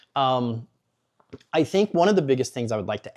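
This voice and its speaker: Lively intonation marks this man's fairly high-pitched voice, heard in an American accent with a dark, mellow tone at a fairly quick pace on a very clean recording with a silent background. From Missouri, US Midwest. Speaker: local media founder. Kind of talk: interview. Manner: fast.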